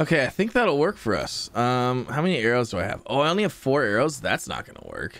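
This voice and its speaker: A man rushes along at a very fast pace with hardly any pauses, his pitch swinging very widely. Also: fairly high pitch for a man. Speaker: gaming YouTuber. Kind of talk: let's play commentary. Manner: casual, filler-heavy.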